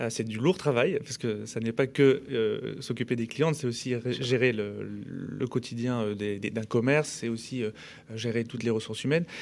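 His intonation is fairly even. The man uses a normal speaking voice at a medium speed. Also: medium pitch for a man, very clean recording, silent background. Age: 30s. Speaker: hair salon chain co-founder. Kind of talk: casual radio interview. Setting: radio studio.

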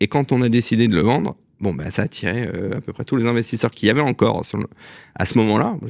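A plain, everyday voice goes at a fairly quick pace with ordinary pitch variation, in a dry, close sound with no echo over a quiet background. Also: man. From Alsace, France (Strasbourg). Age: 40s. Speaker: real estate company executive. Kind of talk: radio interview.

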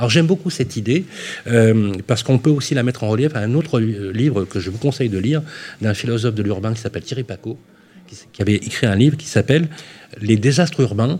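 This voice has a dark, mellow tone and is somewhat breathy. It moves at a fairly quick pace with lively intonation. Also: man. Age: 30s. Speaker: radio host. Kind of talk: radio show. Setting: live radio broadcast. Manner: animated.

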